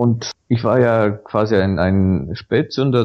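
A man's fairly low voice with a Bulgarian accent and ordinary pitch variation. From Bulgaria (Sofia). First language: Bulgarian (speaking German). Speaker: Wikipedia volunteer. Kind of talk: podcast interview.

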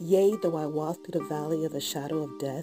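Music sounds behind the speaker. She is a woman. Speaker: voiceover hobbyist. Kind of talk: scripture reading.

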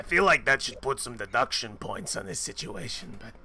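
In a put-on character voice, a man talks at a fairly quick pace with a raspy, medium-pitched sound. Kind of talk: casual in-character game talk. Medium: actual play. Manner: blunt, dry, mocking. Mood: dry, sardonic.

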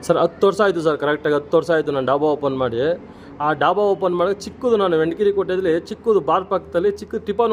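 Pitch sits high for this man and varies in an ordinary way. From Karnataka, Kanakapura. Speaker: dhaba owner. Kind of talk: interview.

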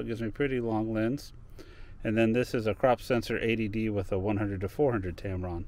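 The sound is dry with no echo as a man speaks with fairly even intonation. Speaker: hobby photographer vlogger. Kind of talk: casual vlog chat. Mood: relaxed, easygoing. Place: car. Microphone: phone near.

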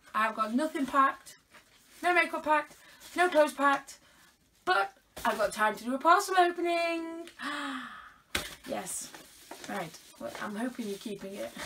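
Projecting in a raised voice with a British accent, a woman speaks high-pitched at a moderate pace, her pitch swinging very widely and her loudness shifting a lot, with long, frequent pauses over noticeable background noise. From UK. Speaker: unboxing vlogger. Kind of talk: casual unboxing chat. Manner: chatty, animated. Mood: playful, teasing. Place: home room. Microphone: phone near.

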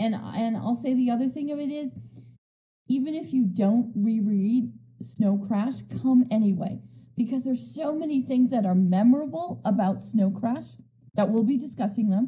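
A woman speaks at a moderate pace in a fairly high, dark and mellow voice with ordinary pitch variation. Audible room echo surrounds her.

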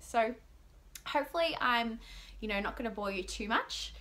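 A woman with an Australian accent speaks in an upbeat tone. There is light background noise. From Melbourne, Australia. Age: 20s. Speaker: vlogger. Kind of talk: casual vlog monologue to camera. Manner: rambling, chatty; upbeat, excitable. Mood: cheerful, laughing often. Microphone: phone near.

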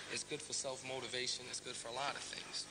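Loud background noise fills the recording. Over it, a man talks very fast. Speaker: interviewee. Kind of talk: interview answer. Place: hall.

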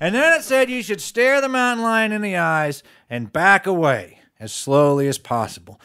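In an American accent, a man uses a raised, projected voice at a high pitch, with very wide pitch swings and a moderate pace, on a very clean recording with a silent background. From Charleston, West Virginia. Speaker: storyteller. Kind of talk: tall tale storytelling performance.

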